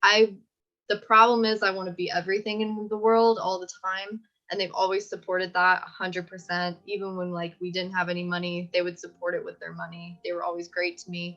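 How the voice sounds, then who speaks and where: A woman's fairly quick, medium-pitched voice, bright and sharp in tone, with big swings in loudness. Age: 20s. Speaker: animation graduate, social media staff. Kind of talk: interview. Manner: animated.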